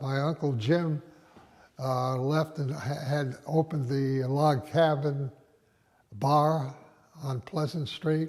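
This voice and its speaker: With an American accent, a man speaks at a very slow pace in a somewhat breathy voice. His pitch is fairly high, and his intonation is fairly even. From Rhode Island, US (Westerly). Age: 90s. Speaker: retired doctor recounting local history. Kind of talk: oral history interview. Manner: halting, many fillers and restarts.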